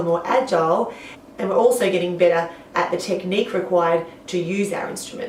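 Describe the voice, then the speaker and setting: A woman with an Australian accent talks at a fairly quick pace, with audible room echo. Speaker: singing teacher. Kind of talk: tutorial.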